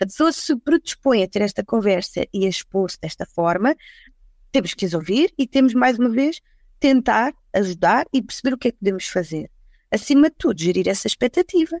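Fairly high-pitched with very wide pitch swings, a woman speaks at a fairly quick pace in a dry, close sound with no echo. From Portugal, Lisbon and the Algarve. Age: 40s. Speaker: HR recruitment executive. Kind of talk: casual panel discussion.

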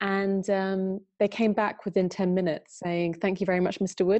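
An English accent comes through. The delivery moves at a fairly quick pace. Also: woman. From UK. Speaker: software company country manager. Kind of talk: webinar interview.

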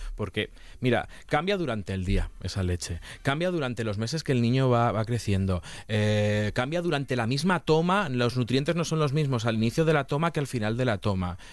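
A man with a plain, everyday voice, medium pitch, lively intonation and a moderate pace, on a very clean recording with a silent background. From Castilla-La Mancha, Spain. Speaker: nutritionist, podcast host. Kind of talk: casual interview chat.

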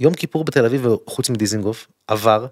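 A man speaking at a moderate pace. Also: dry, close sound with no echo. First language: English (speaking Hebrew). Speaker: politician. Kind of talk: casual interview. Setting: studio.

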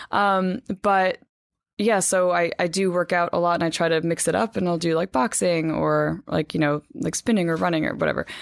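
A woman with an American accent speaks in a normal speaking voice, fairly low-pitched, with ordinary pitch variation, at a moderate pace and very even loudness, on a very clean recording with a silent background and a dry, close sound with no echo. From New Jersey, US. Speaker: magazine editor. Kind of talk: casual interview.

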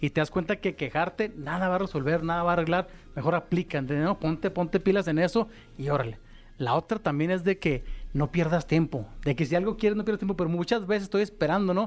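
A man talks very fast at a high pitch, with ordinary pitch variation. His loudness is very even against a quiet background. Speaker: motivational speaker. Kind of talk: casual interview chat.

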